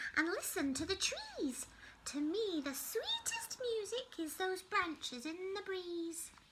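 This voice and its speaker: A woman's put-on character voice, extremely high in pitch with very wide pitch swings, at a fairly slow pace over clear background noise. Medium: read story.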